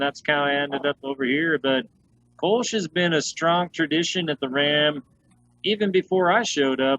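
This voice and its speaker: Speaking at a moderate pace with an American accent, a man has a fairly high pitch, a bright, sharp tone and fairly even intonation, recorded dry and close with no echo. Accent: noticeable regional US. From Utah, US. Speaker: head brewer. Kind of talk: casual interview chat. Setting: video call.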